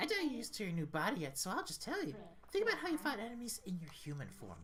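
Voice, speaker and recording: Over clear background noise, a put-on character voice races at a very fast pace with a fairly high pitch. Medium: game stream. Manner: teasing, condescending.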